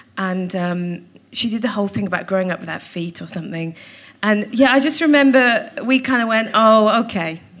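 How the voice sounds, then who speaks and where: A woman's lively intonation at a moderate pace, with audible room echo. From Wales, Cardiff. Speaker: comedian and actor. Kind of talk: live comedy interview. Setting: stage with audience.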